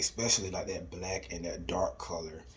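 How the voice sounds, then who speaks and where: Noticeable background noise is present throughout. A man speaks over it at a moderate pace. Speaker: astrology and manifestation youtuber. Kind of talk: tutorial. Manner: casual with fillers.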